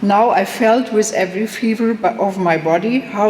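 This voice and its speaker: A woman with a German accent speaks at a fairly slow pace. Noticeable background noise and audible room echo fill the recording. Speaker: professor. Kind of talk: lecture. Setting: conference hall with audience. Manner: reading a prepared text, some hesitations.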